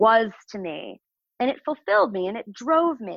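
A woman with an American accent has a normal speaking voice, fairly high in pitch, with lively intonation and a fairly slow pace. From Chicago, US Midwest. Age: 40s. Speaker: sex and relationship coach, entrepreneur. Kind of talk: casual interview. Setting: remote call.

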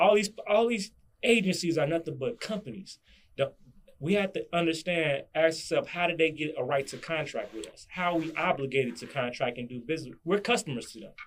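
A man's high-pitched voice with lively intonation and big swings in loudness. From Chicago, South Side. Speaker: guest on interview podcast, sovereign citizen business figure. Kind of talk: casual interview.

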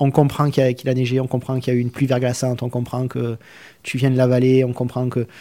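A man in a Provençal accent, medium in pitch with a dark, mellow tone, delivering flat, monotone speech at a very fast pace. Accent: southeastern French (Provence). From southern France, Arles (Provence). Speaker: immigrant to Canada. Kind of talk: radio interview. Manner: halting, repeats words.

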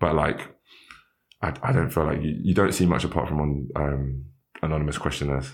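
With audible room echo, a man speaks at a fairly quick pace in a very deep, low pitch with fairly even intonation and long, frequent pauses. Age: 20s. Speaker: university student and diversity officer. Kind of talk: interview. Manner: halting.

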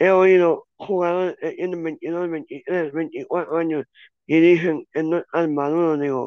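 The man speaks very slowly in a high-pitched voice. His intonation is a flat monotone. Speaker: football commentator. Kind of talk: casual sports talk. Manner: halting, many fillers.

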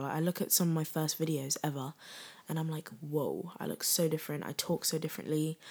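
A woman with a British accent speaks fairly quickly at a very deep, low pitch with fairly even intonation. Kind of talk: casual solo chat. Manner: giggly, casual.

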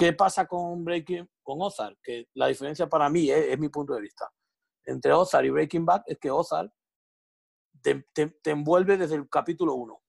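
A man with a fairly high voice talks at a moderate pace with ordinary pitch variation. It is an ordinary speaking voice, heard dry and close with no echo. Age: 30s. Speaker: bar owner. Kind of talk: casual chat.

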